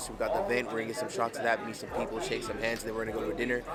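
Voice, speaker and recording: A man talks at a very fast pace at a medium pitch. Room echo is audible, and crowd noise sits in the background. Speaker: vlogger and motivational speaker. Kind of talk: casual vlog talk to camera.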